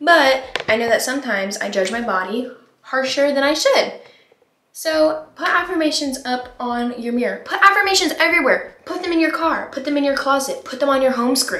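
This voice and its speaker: A woman speaks in a raised, projected voice with lively intonation. Audible room echo fills the recording. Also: moderate pace. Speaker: vlogger. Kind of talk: casual vlog chat. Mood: upbeat, encouraging. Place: bathroom. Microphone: phone near.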